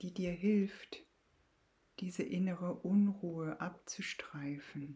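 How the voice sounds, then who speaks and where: A woman's fairly low, somewhat breathy voice with a dark, mellow tone, at a very slow pace. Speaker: podcast host and Jin Shin Jyutsu practitioner. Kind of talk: guided meditation. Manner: slow, calm, soothing; gentle, reassuring with long pauses.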